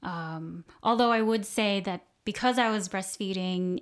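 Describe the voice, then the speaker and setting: Speaking with an American accent, a woman uses a plain, everyday voice at medium pitch, with fairly even intonation and a fairly slow pace. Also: very clean recording, silent background. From US South, Southwest Florida. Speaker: podcast guest. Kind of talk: interview. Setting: kitchen table recording.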